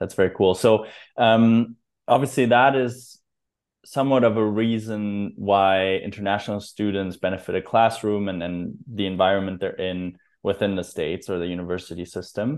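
A man's fairly low voice with a German accent, at a moderate pace and with fairly even intonation. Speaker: podcast host. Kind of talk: casual interview.

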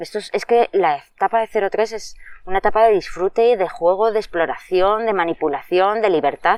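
This woman has an unremarkable speaking voice at medium pitch, with ordinary pitch variation and a moderate pace. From Madrid, Spain. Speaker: early childhood educator. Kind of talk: interview.

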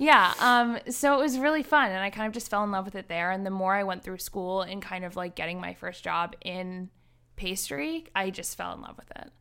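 A woman speaks at a moderate pace in a medium pitch, with lively intonation, a bright, sharp tone and big swings in loudness. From Rhode Island. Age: 20s. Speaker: pastry chef. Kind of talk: casual interview.

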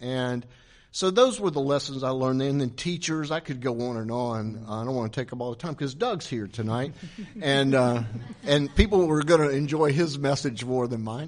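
This man has a fairly high pitch and an ordinary speaking voice with an American accent. He talks at a moderate pace. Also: ordinary pitch variation. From South Carolina, later Tampa, Florida. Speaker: marketing agency founder and soccer club owner. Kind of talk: onstage interview before audience. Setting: event room with live audience.

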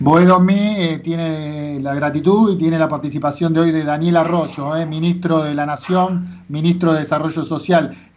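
A man at a fairly high pitch with monotone, flat intonation and audible room echo. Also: moderate pace, hardly any pauses. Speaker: radio host. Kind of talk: radio interview.

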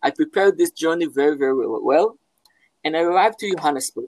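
Recorded with a dry, close sound and no echo, a man with an Israeli accent speaks with very wide pitch swings. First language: Hebrew. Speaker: philosophy professor. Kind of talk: interview. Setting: at home, video call. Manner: halting.

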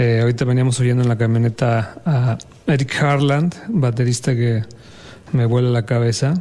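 Noticeable background noise sits under a man speaking at a moderate pace and medium pitch. His intonation is fairly even and his loudness very even. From Mexico City. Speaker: jazz bassist. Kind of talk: casual interview.

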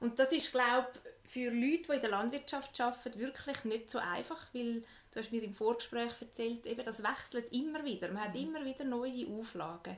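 The speaker has a Swiss accent and hardly any pauses. Noticeable background noise is present. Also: woman, high pitch for a woman, ordinary pitch variation, moderate pace. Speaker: podcast host. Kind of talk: interview.

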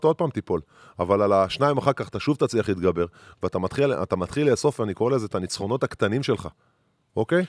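A man speaks at a fairly low pitch with lively intonation, his voice dry and close with no echo on a very clean recording with a silent background. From Israel, rural moshav. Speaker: former basketball player, podcast co-host. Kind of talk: casual chat. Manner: hesitant, many fillers.

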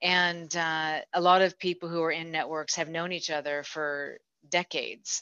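A woman with an American accent speaks at a moderate pace in a fairly low voice, her bright, sharp tone delivered with flat, monotone intonation over a quiet background, the sound dry and close with no echo. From United States. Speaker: business executive and mentoring program leader. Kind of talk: interview. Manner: halting, many fillers.

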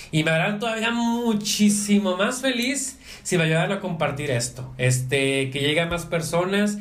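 Over music in the background and with audible room echo, a man with a high pitch talks at a moderate pace with lively intonation and hardly any pauses. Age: 30s. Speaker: podcast host. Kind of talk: casual chat. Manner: halting.

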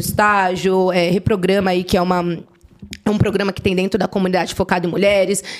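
Speaking at a fairly quick pace, a woman with a Paulista accent has a medium-pitched voice. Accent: Paulista Brazilian Portuguese. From Brazil, São Paulo north zone. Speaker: tech professional. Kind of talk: casual chat.

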